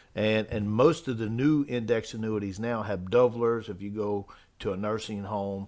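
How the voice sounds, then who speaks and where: A man with a normal speaking voice talks at a moderate pace, his pitch fairly low and his intonation fairly even. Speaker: financial advisor co-host. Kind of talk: casual chat.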